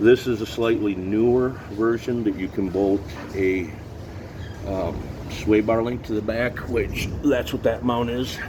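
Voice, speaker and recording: A man's fairly slow, fairly even delivery with long, frequent pauses over noticeable background noise. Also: medium pitch for a man. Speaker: mechanic / vehicle builder. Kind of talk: casual workshop vlog. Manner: halting, self-described stuttering.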